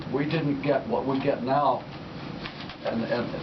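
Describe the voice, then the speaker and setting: There is audible room echo and noticeable background noise as a man of medium pitch speaks at a fairly slow pace. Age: 80s+. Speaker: war veteran. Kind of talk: radio interview. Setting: studio.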